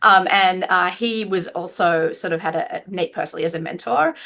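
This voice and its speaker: Her tone bright and sharp, a woman with an Australian accent speaks with ordinary pitch variation. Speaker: law professor. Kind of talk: podcast interview. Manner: casual, many fillers.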